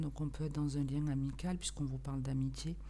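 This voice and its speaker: A soft-spoken woman at a fairly quick pace, with audible room echo. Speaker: tarot card reader. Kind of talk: tarot reading video. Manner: casual, hesitant.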